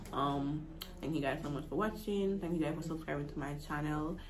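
Noticeable background noise behind fairly fast talking, its pitch varying in an ordinary way. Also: woman, very deep, low pitch for a woman. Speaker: vlogger. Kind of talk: casual vlog chat. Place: home room. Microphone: phone near.

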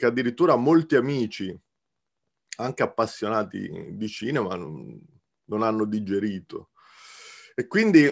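Pausing long and often, a man talks with very wide swings in pitch. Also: fairly slow pace, quiet background. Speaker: guest. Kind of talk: film analysis discussion. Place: home room. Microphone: video call.

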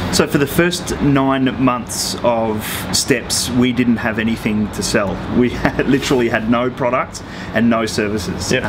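A man keeps fairly even intonation and a moderate pace while noticeable background noise is heard. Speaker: guest. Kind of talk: interview answer. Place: street.

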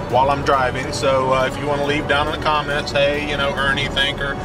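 Clear music plays behind a man speaking at a very fast pace. His voice sounds dry, with no echo. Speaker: hobby channel vlogger. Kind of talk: casual vlog chat. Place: car. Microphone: camera far.

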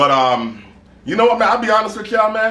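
A man's voice with audible room echo. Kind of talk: casual vlog chat. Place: garage.

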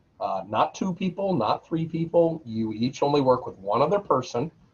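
Male speech, somewhat breathy. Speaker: university instructor. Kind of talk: lecture. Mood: firm, instructive. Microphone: webcam.

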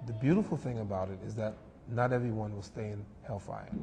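With music in the background, a man speaks with an American accent and ordinary pitch variation. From New York, USA. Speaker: imam, Islamic speaker and guest. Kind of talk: religious talk in a TV interview. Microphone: lapel.

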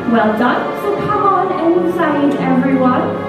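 Loud music plays in the background, and audible room echo is present. A woman speaks at a fairly slow pace. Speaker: tour guide. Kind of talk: tour guide commentary. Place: hall.

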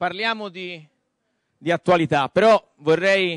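In a Florentine accent, a man speaks with ordinary pitch variation against a quiet background, the sound dry with no echo. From Florence, Tuscany, Italy; Tuscany, Italy. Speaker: debate moderator. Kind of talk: moderated panel debate. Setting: stage with audience. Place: stage. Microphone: handheld.

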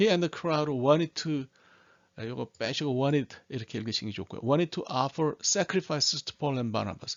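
A man with a normal speaking voice, fairly high in pitch, at a fairly quick pace with ordinary pitch variation. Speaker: Bible English teacher. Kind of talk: tutorial.

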